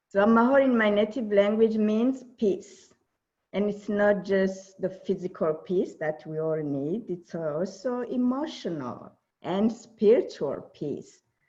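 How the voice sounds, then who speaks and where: The speaker has a Burundian accent and a dark, mellow tone. The pace is fairly slow, with lively intonation. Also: woman, medium pitch for a woman. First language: Kirundi. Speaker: diversity and inclusion speaker. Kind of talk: keynote presentation.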